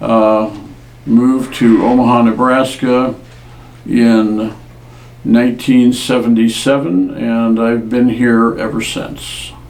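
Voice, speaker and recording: A man with a General American accent talks at a very slow pace, his medium pitch held in a monotone, flat intonation. The recording has audible room echo and noticeable background noise. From US Pacific Northwest (Washington state). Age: 70s. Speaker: war veteran. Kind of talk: oral history interview.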